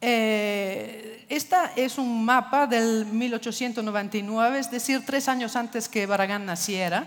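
Speaking at a fairly slow pace with an Italian accent, the voice has ordinary pitch variation and hardly any pauses. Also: woman, fairly high pitch for a woman. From Italy. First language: Italian (speaking Spanish). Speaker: architecture foundation director; speaker. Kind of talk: lecture. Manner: halting, many fillers. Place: stage. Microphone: headset.

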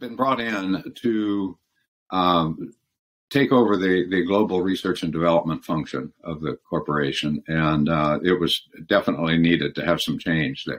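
This man has a very deep, low pitch. He talks at a moderate pace. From US, California and Michigan. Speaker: former law firm partner and leadership consultant; interview guest. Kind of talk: interview. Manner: halting. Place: home room.

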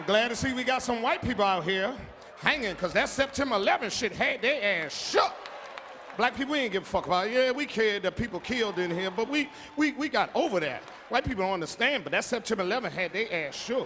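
A man's raised, projected voice at a very fast pace, with lively intonation over light background noise. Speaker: stand-up comedian. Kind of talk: stand-up comedy routine. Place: stage. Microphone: handheld.

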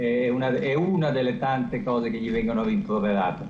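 With very wide pitch swings, a man talks in a room with audible echo and light background noise. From Italy. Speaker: US correspondent; foreign correspondent. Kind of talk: live news analysis. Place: home room. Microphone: video call.

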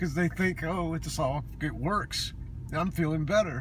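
Dry sound with no echo, a man at a moderate pace, light noise in the background. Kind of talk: emotional personal vlog confession. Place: car. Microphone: phone near.

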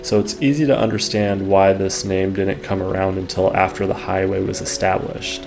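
Over light background noise, a man uses an ordinary speaking voice at a fairly low pitch and a moderate pace. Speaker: history vlogger narrating. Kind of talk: documentary narration. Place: studio.

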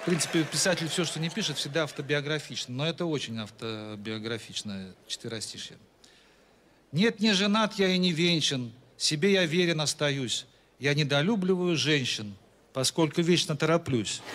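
A man's lively intonation at a moderate pace, over light background noise. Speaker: comic poet. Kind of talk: stand-up comic verse reading. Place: stage. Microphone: handheld.

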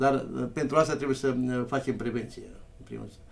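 Speaking at a medium pitch, a man sounds monotone and flat, with vocal fry. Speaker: village mayor. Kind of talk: live TV interview.

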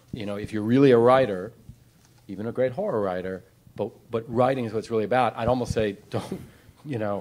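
At a very fast pace, a man speaks at a fairly low pitch with ordinary pitch variation. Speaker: panelist. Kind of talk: panel discussion answer. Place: hall. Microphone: handheld.

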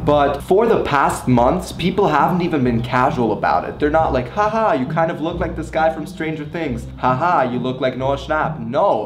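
Music plays in the background while a man talks at a moderate pace, hardly pausing. His pitch varies in an ordinary way, and room echo is audible. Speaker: vlogger. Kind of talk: casual vlog chat. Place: kitchen. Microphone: camera far.

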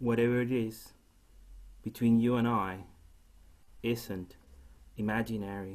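In a Chilean accent, a man talks at a fairly slow pace with a monotone, flat intonation and long, frequent pauses. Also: medium pitch for a man. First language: Spanish. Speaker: poet. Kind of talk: poetry reading. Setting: video call. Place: home room.

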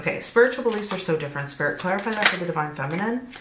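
Loud background noise surrounds a woman whose pitch swings very widely. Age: 40s. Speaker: tarot reader and spiritual YouTuber; tarot reader, spiritual YouTuber. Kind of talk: tarot reading monologue.

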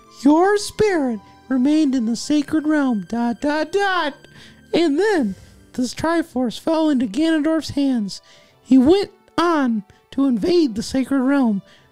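A man's put-on character voice, extremely high-pitched, at a fairly slow pace with long, frequent pauses and faint music in the background. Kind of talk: comic dramatic reading of game text. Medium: game stream. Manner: earnest, pleading, a little overwrought.

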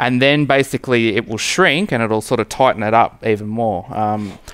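A man's medium-pitched voice, clear, smooth and fairly bright in tone, with ordinary pitch variation at a moderate pace.

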